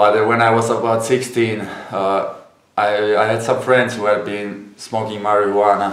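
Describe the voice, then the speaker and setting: Speaking with a Finnish accent, a man talks at a fairly slow pace in a monotone, flat intonation at a fairly low pitch. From Finland. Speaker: YouTuber, former drug addict. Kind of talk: casual talk to camera.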